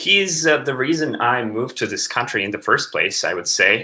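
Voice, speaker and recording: A man speaks with a Latvian accent. His pace is moderate. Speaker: composer. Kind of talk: interview. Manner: halting.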